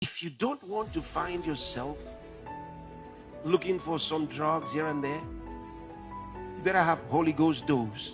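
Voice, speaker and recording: A man talking at a very slow pace over music in the background. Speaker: pastor preaching. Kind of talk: sermon / church teaching.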